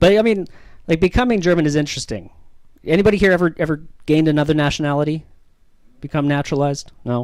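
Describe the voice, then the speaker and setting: A man rattles along at a very fast pace in a Canadian accent. His fairly high voice has lively intonation. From Canada. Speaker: comedian. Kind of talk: stand-up. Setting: stage with audience.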